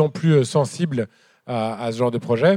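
A man's medium-pitched voice, with ordinary pitch variation, comes through on a very clean recording with a silent background. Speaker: moderator and farming activist. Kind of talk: live public talk. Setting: stage with audience. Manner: halting.

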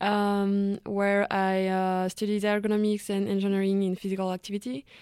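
With a French accent, a woman of medium pitch speaks in a dark, mellow tone with monotone, flat intonation, on a very clean recording with a silent background. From France, Savoie (Chambéry). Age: 20s. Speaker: student. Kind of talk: casual interview.

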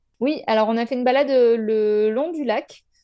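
A woman's voice has a dark, mellow tone and a high pitch. Her intonation stays fairly even. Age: 30s. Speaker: photographer and content creator. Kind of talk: casual interview.

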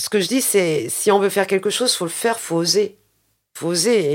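Ordinary pitch variation and a moderate pace from a woman, on a very clean recording with a silent background. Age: 50s. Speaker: plumber and business owner. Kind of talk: interview. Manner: halting, many hesitations.

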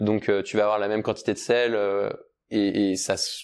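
The man's voice sits at a fairly low pitch. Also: quiet background. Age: 30s. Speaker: startup founder. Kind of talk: casual interview. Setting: studio, video podcast. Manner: hesitant, many fillers.

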